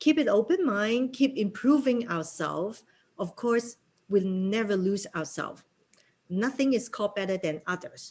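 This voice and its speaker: Somewhat breathy, the voice carries lively intonation in a Cantonese accent. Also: woman. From Hong Kong. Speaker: real estate broker and association president. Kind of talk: interview.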